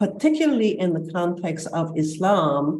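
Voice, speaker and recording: A woman speaks at a fairly slow pace. Her tone is dark and mellow, with ordinary pitch variation. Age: 70s. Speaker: panel moderator, scholar. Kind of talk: panel discussion remarks. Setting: video call. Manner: hesitant with fillers.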